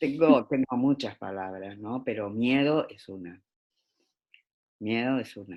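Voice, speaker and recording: Over a quiet background, a woman speaks with an Argentine accent. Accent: Argentine Spanish (Rioplatense). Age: 70s. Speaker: education specialist. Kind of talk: interview. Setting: video call. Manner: hesitant, many fillers.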